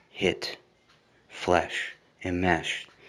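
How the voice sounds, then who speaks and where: A man is speaking. His tone is bright and sharp. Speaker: spoken word poet. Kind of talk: improvised spoken word poetry. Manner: relaxed.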